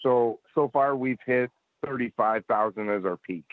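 A man with a Canadian accent speaks in a normal speaking voice at moderate pace and medium pitch, with ordinary pitch variation. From Canada, Edmonton and Nova Scotia. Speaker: battle rap league staff, tech and pay-per-view. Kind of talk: casual podcast interview.

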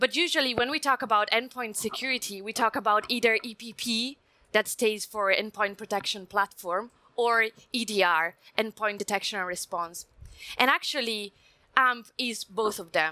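A woman with an Italian accent talks at a moderate pace in a fairly high pitch and a bright, sharp tone, the sound dry and close with no echo. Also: ordinary pitch variation. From Italy. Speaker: security systems engineer. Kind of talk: technical panel discussion.

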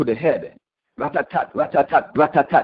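Someone speaks fairly slowly in a Virgin Islands accent. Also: man. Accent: Caribbean (Virgin Islands). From US Virgin Islands, St. Thomas. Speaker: caller, spoken word poet and musician. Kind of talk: spoken word poetry. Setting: phone call.

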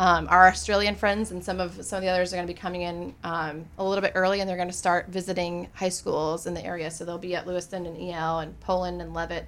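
A woman's fairly low voice at a very fast pace, hardly any pauses, big swings in loudness, and monotone, flat intonation. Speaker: film festival organizer. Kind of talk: radio interview, casual chat. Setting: studio.

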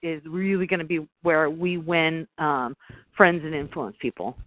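A woman speaking at a fairly slow pace. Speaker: sales professional. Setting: phone call.

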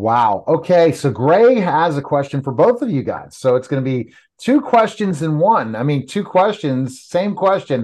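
A man's fairly high-pitched voice at a moderate pace, very wide pitch swings, hardly any pauses, and a quiet background. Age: 50s. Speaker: podcast host. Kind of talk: casual interview.

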